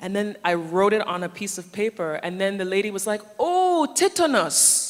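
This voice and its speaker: Noticeable background noise sits behind an animated tone delivered with an American accent. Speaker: forum speaker, social media manager. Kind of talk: conference talk.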